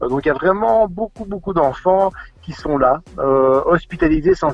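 Music plays in the background as a man talks. His pace is moderate and his intonation lively. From Belgium, Charleroi (Wallonia). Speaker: charity head and primary school teacher. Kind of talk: radio interview. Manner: hesitant, many repetitions and fillers.

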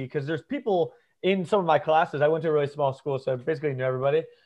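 With an American accent, a man speaks in a fairly high voice that shows ordinary pitch variation. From US South, northeast Florida. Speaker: social media creator. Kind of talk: casual chat.

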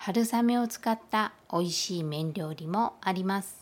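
A normal speaking voice from a woman at medium pitch, fairly slow in pace with ordinary pitch variation. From Kyushu, Japan. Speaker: Japanese language teacher. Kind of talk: language lesson monologue. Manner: slow, clear.

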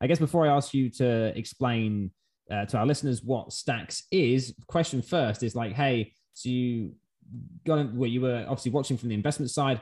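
Here a man speaks with an English accent at a moderate pace. His pitch is medium, with ordinary pitch variation. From England. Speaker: podcast host. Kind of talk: interview.

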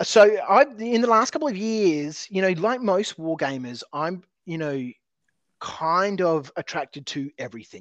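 In a quiet background, a man with an Australian accent speaks fairly slowly in a high pitch with very wide pitch swings and a dry, close sound with no echo. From Australia (Adelaide). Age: 40s. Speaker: tabletop terrain business owner. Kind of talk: casual interview chat. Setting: remote call. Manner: halting, many fillers.

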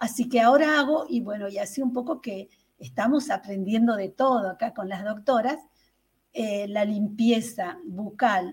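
Her voice is somewhat breathy and fairly high for a woman, moving at a fairly slow pace with ordinary pitch variation. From Tucumán, northern Argentina. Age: 60s. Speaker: health testimony guest. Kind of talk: testimony. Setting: video call. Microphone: far from the camera.

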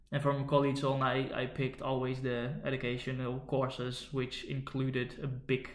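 A man's medium-pitched voice in a Dutch accent, fairly slow and monotone, with flat intonation. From Netherlands. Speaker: podcast host. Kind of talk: casual chat between a couple.

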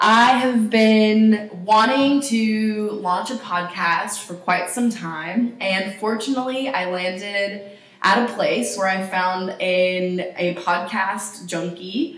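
Delivered very slowly in a Tennessee accent, the somewhat breathy voice has ordinary pitch variation and audible room echo. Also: woman. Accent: Southern US (Tennessee). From US South, East Tennessee. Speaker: podcast co-host, nonprofit worker. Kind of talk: casual chat.

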